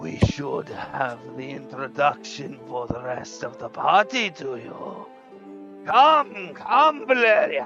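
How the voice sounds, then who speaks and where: A put-on character voice at a low-to-middle pitch moves at a very slow pace. Clear music plays in the background. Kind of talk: formal, greeting the listener as comrade.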